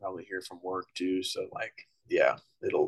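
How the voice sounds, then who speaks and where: Recorded with a dry, close sound and no echo, a man talks at a moderate pace. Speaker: gamer guest. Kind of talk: casual chat.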